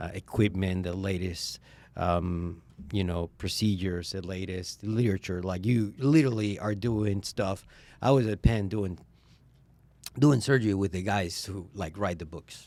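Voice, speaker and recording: A man's very deep, low, dark and mellow voice with a Spanish accent and big swings in loudness, on a very clean recording with a silent background. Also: ordinary pitch variation, moderate pace. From Venezuela. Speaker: vascular surgeon. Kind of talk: interview conversation. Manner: hesitant, many fillers.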